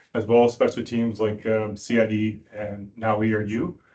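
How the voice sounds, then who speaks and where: A man with a Canadian accent. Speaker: police sergeant, dog handler trainer. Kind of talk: presentation to police board. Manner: fast.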